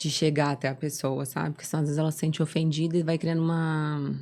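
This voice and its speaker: Woman's very deep, low voice with a dark, mellow tone and monotone, flat intonation on a very clean recording with a silent background. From southern Brazil, Florianópolis. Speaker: doctor, nutrition and sports medicine. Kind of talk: interview.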